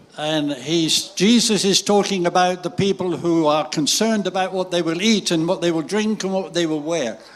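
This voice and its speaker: A man with a high voice talks at an average speed, his pitch shifting by a typical amount over clear background noise. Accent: British. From Great Britain. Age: 80s+. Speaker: visiting preacher. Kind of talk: sermon with interpreter. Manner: short phrases paused for interpretation.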